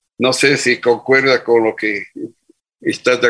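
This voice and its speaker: At a fairly slow pace, a man speaks at medium pitch in a bright, sharp tone. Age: 80s+. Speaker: business founder. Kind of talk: interview.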